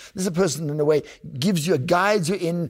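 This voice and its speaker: A man with a South African accent and a high pitch on a very clean recording with a silent background. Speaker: podcast host and oboist. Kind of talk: interview, casual conversation.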